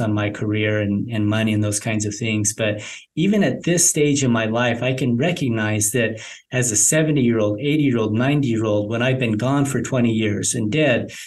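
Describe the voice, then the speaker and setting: Speaking at a fairly quick pace with hardly any pauses, a man keeps a medium pitch, ordinary pitch variation and very even loudness. Room echo is audible. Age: 50s. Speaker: reverse mortgage specialist. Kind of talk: podcast interview. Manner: halting, many repetitions.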